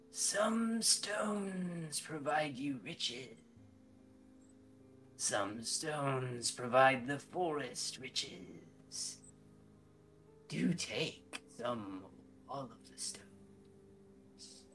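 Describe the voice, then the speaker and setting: A man puts on a raspy character voice, speaking at a very slow pace with long, frequent pauses. Background noise is clearly audible. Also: medium pitch for a man. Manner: eerie, timeless.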